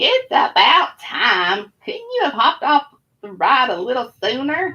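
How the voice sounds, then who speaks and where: A female-sounding voice in a put-on character voice speaks at a fairly slow pace. The pitch is high, with very wide swings. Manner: sardonic, cackling.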